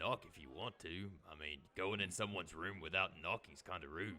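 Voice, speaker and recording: A man's put-on character voice, raspy and very deep and low in pitch, at a moderate pace. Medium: actual play. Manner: casual, plainspoken.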